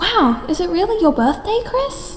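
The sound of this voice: A woman puts on a character voice, extremely high in pitch with big pitch swings, at a fairly slow pace. Faint music plays in the background.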